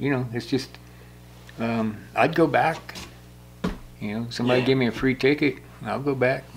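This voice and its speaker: A man with an American accent talks at a moderate pace, leaving long, frequent pauses. His intonation is fairly even, and there is noticeable background noise. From US Midwest, Indiana. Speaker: war veteran. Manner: rambling and conversational, full of 'you know' and 'uh' fillers; blunt, wry and self-deprecating, with laughs and swearing. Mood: reflective, plainspoken. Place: shop.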